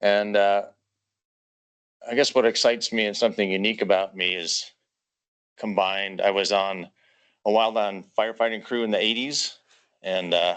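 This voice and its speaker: Speech in an American accent moves at a moderate pace with fairly even intonation and long, frequent pauses. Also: man, fairly low pitch for a man, quiet background. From Minnesota. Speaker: volunteer firefighter applicant. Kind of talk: self-introduction at meeting. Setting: meeting room with audience.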